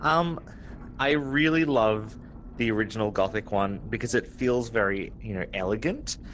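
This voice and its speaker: An Australian accent at a moderate pace. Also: man, medium pitch for a man, ordinary pitch variation. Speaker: game developer and artist. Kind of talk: interview.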